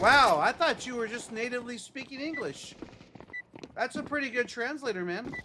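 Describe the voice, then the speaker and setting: Over noticeable background noise, a man with an extremely high pitch and ordinary pitch variation speaks in a raised, projected voice. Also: moderate pace. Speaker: video game streamer. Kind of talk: casual gaming livestream chat. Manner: loud.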